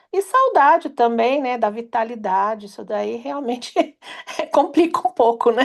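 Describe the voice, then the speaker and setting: Her voice high in pitch, a woman speaks at a fairly slow pace with lively intonation and big swings in loudness. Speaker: workshop participant. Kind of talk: group sharing. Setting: online live session.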